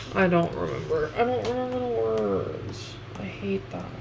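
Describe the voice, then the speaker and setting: A woman's pitch swings very widely. Audible room echo and noticeable background noise come through. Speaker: streamer and artist. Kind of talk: casual livestream chat while drawing. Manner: halting, many fillers.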